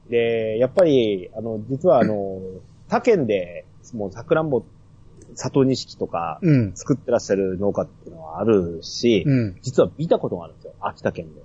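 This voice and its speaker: Somewhat breathy male voice with lively intonation, big swings in loudness and a moderate pace. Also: medium pitch for a man. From Yamagata. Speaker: podcast host guest. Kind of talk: casual chat.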